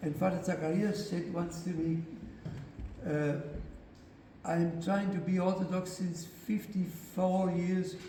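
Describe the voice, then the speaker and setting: With audible room echo and noticeable background noise, a man speaks at a high pitch and a fairly slow pace, in monotone, flat intonation broken by long, frequent pauses. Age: 80s+. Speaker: author and speaker on faith. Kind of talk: lecture. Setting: church parish hall with audience. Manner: halting.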